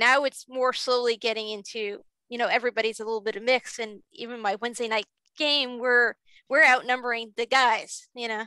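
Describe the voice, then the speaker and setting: The voice moves at a fairly quick pace with fairly even intonation and a bright, sharp tone. The sound is dry with no echo, over a quiet background. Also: woman, fairly high pitch for a woman. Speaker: game master. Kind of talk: panel discussion. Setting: video call. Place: home room. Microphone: video call.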